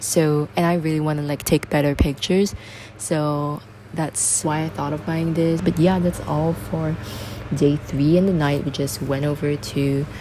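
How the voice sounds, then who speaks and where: A woman speaks in a very deep, low pitch. Noticeable background noise runs behind her. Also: ordinary pitch variation, moderate pace. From Singapore. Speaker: travel vlogger. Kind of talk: casual vlog talk. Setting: rental apartment. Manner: whispering. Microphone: bad audio.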